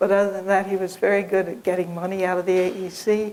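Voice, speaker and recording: Medium-pitched, monotone speech from a woman with flat intonation. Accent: Kentucky. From US South, Lexington, Kentucky. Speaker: biology professor. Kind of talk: interview, life story.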